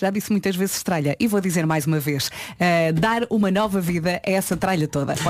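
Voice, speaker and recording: A woman's ordinary speaking voice at medium pitch, moderate in pace with hardly any pauses, very even loudness and ordinary pitch variation. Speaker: morning radio co-host. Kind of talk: casual chat. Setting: radio studio.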